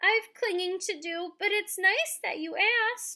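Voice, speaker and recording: A woman's squeaky, put-on character voice at an extremely high pitch, fairly slow pace. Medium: read story. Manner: hesitant, timid.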